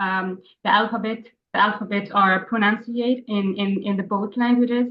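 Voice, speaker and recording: At a moderate pace, a woman with a Palestinian accent speaks in a medium pitch with monotone, flat intonation. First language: Arabic. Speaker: English language student. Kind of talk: class discussion. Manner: halting.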